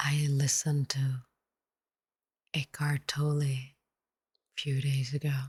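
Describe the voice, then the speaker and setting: A soft-spoken woman with a very deep, low, somewhat breathy voice talks very slowly in a calm, flat monotone. Long, frequent pauses break her speech, and the sound is dry and close with no echo. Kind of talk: soft-spoken ASMR meditation talk. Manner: soft-spoken, calm.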